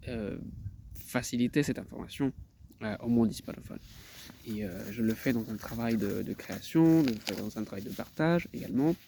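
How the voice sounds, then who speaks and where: A man talks at a moderate pace in a medium pitch, with ordinary pitch variation and long, frequent pauses. His tone is dark and mellow. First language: Spanish (speaking French). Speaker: translator. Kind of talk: self-promotional video talk. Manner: halting, many hesitations and repetitions.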